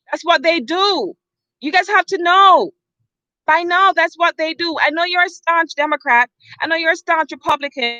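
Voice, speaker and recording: A woman with an extremely high pitch and a bright, sharp, animated tone projects her raised voice at a moderate pace with ordinary pitch variation, the sound dry and close with no echo. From Jamaica. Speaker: vlogger. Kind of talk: opinion rant vlog. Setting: outdoors.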